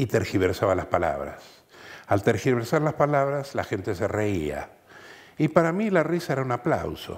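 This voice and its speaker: A man's medium-pitched voice with vocal fry at a moderate pace. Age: 70s. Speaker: voice artist. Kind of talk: interview.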